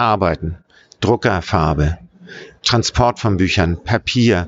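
A man at a fairly slow pace, his intonation lively. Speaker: writer and activist. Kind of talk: interview. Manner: enthusiastic.

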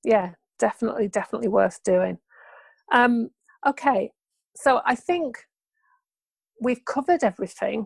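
Recorded very clean and dry, with a silent background and no echo, a woman with a British accent speaks at a fairly high pitch with vocal fry. Her intonation is lively, her pace moderate, and her pauses long and frequent. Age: 40s. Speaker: podcast host living with MS. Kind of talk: interview.

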